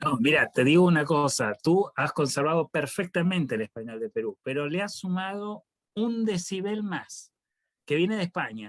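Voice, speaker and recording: Heard in a dry, close sound with no echo, a man with a high voice swings very widely in pitch. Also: moderate pace, quiet background. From Argentina, Buenos Aires. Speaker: professor. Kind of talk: panel discussion.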